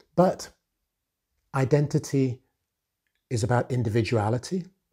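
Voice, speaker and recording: This man speaks at a medium pitch with a dark, mellow tone and ordinary pitch variation. The background is quiet. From Nigeria. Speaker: author and retail executive. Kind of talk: motivational talk to camera. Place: home room. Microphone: lapel.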